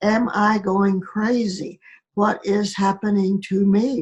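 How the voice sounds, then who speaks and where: A woman with a medium pitch sounds somewhat breathy. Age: 80s+. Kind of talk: interview answer.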